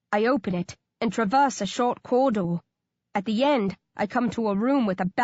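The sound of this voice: Quiet surroundings and an unforced reading voice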